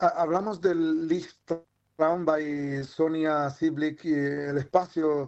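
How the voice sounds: A man's slow, slightly mellow voice, fairly high in pitch, with little pitch movement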